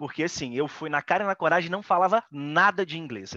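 An ordinary speaking voice from a man, moderate in pace with lively intonation, comes through dry and close with no echo against a quiet background. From Brazil. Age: 30s. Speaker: photographer. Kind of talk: casual interview.

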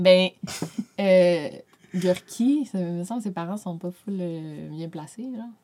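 Speaking very slowly at a medium pitch, a woman uses ordinary pitch variation, leaves long, frequent pauses, and swings widely in loudness. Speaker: YouTuber and author. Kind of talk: casual chat.

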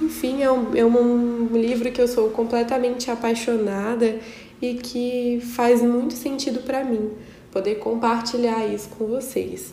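Over noticeable background noise and audible room echo, a woman speaks in a high pitch with monotone, flat intonation at a fairly slow pace. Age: 20s. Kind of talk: Bible study monologue.

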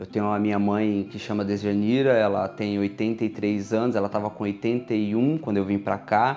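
The man's voice is fairly low in pitch. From Brazil, São Paulo. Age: 30s. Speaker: pastor and machine operator. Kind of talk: interview testimony. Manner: halting, frequent repetitions.

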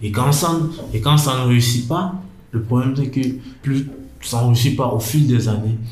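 Speech comes at a fairly slow pace with ordinary pitch variation and long, frequent pauses. Room echo is audible, along with noticeable background noise. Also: man, medium pitch for a man. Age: 20s. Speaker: young man, internship applicant. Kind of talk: personal interview, life testimony. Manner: hesitant, with many fillers and restarts.

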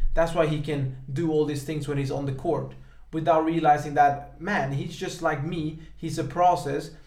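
A man speaks at a moderate pace with a fairly high pitch and flat, monotone intonation. Background noise is noticeable. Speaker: podcast host. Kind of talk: casual chat.

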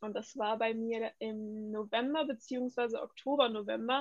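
Her pitch high and her intonation fairly even, a woman speaks. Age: 20s. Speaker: volunteer in care community. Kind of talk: casual interview.

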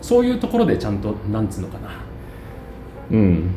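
Noticeable background noise and audible room echo fill this recording. A man talks at a fairly quick pace in a fairly low pitch. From Japan, Ueda, Nagano. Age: 40s. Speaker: city councillor. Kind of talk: casual chat. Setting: cafe.

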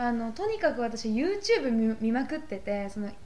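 With audible room echo, a woman with a fairly high pitch and a dark, mellow tone speaks with lively intonation. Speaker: podcast co-host, university student. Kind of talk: casual chat.

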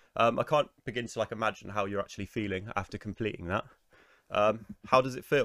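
In a dry, close sound with no echo, a man speaks very fast at a medium pitch with ordinary pitch variation. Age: 20s. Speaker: podcast host. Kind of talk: casual interview.

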